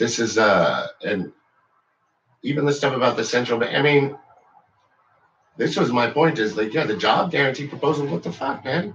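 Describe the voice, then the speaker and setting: A man at medium pitch talks at a moderate pace with vocal fry and lively intonation. His speech has long, frequent pauses. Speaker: political video blogger. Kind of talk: casual vlog rant. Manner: halting.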